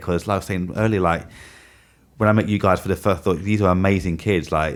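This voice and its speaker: A very deep, low-pitched man mumbling at a very fast pace, fairly even in intonation, on a very clean recording with a silent background. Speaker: podcast host interviewing students. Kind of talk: casual supportive chat. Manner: fast, mumbling.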